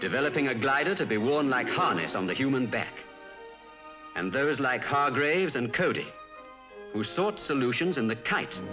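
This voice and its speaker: A man at a fairly high pitch with lively intonation, a moderate pace, long, frequent pauses and very even loudness, with music in the background. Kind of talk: documentary narration.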